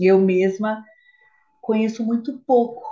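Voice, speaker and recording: A somewhat breathy woman's voice. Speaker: podcast co-host. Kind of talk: casual chat.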